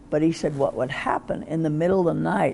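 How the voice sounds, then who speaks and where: A woman with a very deep, low pitch speaks in an American accent. Her intonation is lively and her pace moderate. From US. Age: 80s. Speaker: psychotherapist and author. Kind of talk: interview.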